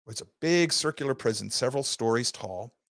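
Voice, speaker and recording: A man's voice in a dry, close recording with no echo. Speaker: podcast host and teacher. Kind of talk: lecture. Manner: fast.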